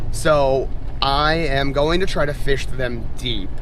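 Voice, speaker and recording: Room echo is audible around a man's voice. Background noise is also noticeable. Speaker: fishing vlogger. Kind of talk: casual vlog narration. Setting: on a boat on a lake; in a truck, then on a boat. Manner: loud, yelling over engine.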